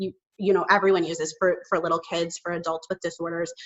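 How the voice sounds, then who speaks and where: With a slight Chicago accent, a woman talks at a very fast pace in a monotone, flat intonation. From Chicago suburbs, US Midwest. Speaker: communication consultant and speech-language pathologist. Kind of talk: podcast interview.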